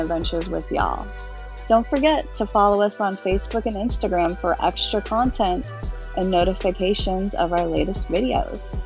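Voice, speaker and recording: A woman talks at a moderate pace. Clear music plays behind her, and the sound is dry with no echo. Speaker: off-road vlogger. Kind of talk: casual vlog chat. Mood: cheerful. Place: car. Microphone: camera far.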